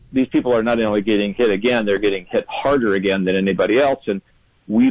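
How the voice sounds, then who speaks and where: A man speaks in a plain, everyday voice with a fairly low pitch. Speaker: newspaper political analyst. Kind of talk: interview analysis.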